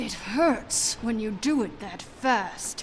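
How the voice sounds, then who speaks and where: In a growling, put-on character voice, someone speaks at a very slow pace against clear background noise. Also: female-sounding voice. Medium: video game. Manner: sharp, defiant.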